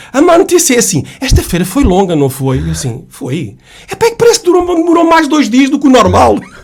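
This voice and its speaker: A man's animated tone at a fairly quick pace, with noticeable background noise. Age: 60s. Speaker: author, retired sales manager. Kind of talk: radio interview. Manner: animated storytelling.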